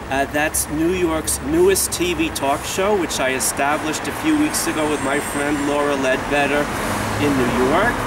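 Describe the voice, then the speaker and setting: Fairly high-pitched man with an American accent at a moderate pace, fairly even in intonation and very even in loudness, with audible room echo and noticeable background noise. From United States. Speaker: TV talk show host. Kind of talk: interview.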